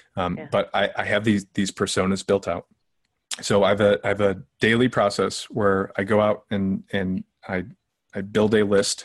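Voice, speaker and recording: In a dry, close sound with no echo, a man speaks with monotone, flat intonation. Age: 30s. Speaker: sales software founder. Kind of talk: interview.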